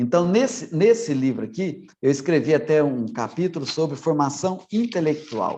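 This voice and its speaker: The tone is dark and mellow, with lively intonation. The pace is moderate, with hardly any pauses. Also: man, fairly high pitch for a man. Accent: Minas Gerais. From Minas Gerais, Brazil. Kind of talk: online formation talk. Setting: online meeting. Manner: swallows syllables.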